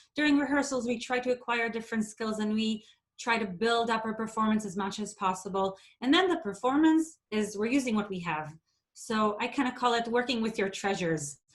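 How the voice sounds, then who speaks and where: A woman with an Israeli accent talks at a fairly quick pace in a fairly high pitch, her intonation lively. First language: Hebrew. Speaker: theatre education associate. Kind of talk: workshop presentation. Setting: video call.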